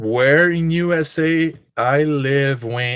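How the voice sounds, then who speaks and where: A man talks with a slight Brazilian accent. The recording is very clean, with a silent background. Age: 30s. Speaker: streamer, cosplayer and online seller. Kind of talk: live stream casual chat.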